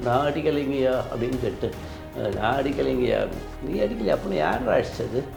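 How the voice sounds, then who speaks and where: A man at a medium pitch speaks with lively intonation in a room with audible echo, music playing in the background. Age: 60s. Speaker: retired professor. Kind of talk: interview testimony. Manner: animated.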